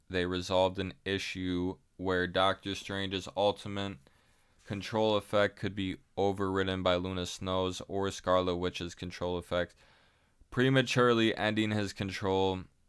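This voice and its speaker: Very deep and low in pitch, a man speaks in a monotone, flat intonation at a fairly slow pace, recorded very cleanly against a silent background. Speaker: gaming streamer. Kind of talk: reading aloud. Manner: casual.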